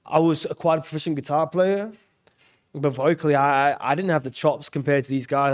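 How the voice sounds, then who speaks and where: His pitch fairly high and his intonation fairly even, a man talks with an Australian accent. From Australia, Brisbane. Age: 20s. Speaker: singer-songwriter. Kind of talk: casual chat.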